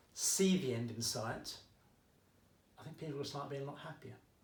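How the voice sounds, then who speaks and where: A man's somewhat breathy, fairly high voice with a slight Essex accent, ordinary pitch variation, a moderate pace and audible room echo. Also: long, frequent pauses. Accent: Essex accent, slight, coming out. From England, Essex. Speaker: maths teacher. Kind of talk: tutorial. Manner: casual, chatty.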